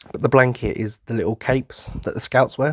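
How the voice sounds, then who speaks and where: The voice comes at a fairly quick pace, with a dry, close sound and no echo. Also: man. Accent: British. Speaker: podcast host. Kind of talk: casual monologue. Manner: animated.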